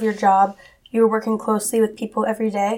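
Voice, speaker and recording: The speaker is a woman with a fairly high pitch. She talks at a very fast pace. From Massachusetts, US. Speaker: college student, guest interviewer. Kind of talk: interview.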